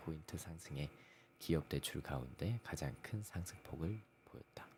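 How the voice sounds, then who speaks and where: Moderate pace from a man with a very deep, low voice and ordinary pitch variation. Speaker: economic news channel host. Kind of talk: reading news articles aloud. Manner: stumbling over words, self-correcting.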